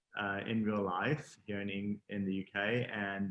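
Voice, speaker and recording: In a Texan accent, a man speaks with fairly low pitch and fairly even intonation. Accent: faint Texan. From Texas. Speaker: fashion designer. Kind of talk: interview.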